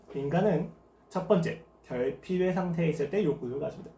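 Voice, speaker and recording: Audible room echo comes through on this recording. The speaker is a man with a high pitch. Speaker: pastor. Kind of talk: sermon. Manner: fast.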